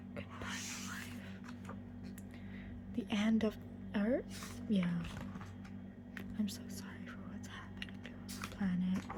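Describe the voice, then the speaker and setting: A soft-spoken whisper at a very slow pace, broken by long, frequent pauses, over noticeable background noise. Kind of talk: ASMR book walkthrough, casual talk to camera. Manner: soft-spoken, whispering.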